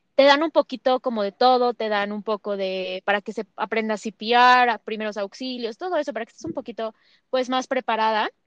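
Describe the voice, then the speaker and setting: Fairly quick and fairly high in pitch, a woman speaks in a plain, everyday voice with ordinary pitch variation and a dry, close sound with no echo. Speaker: podcast host. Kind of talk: interview.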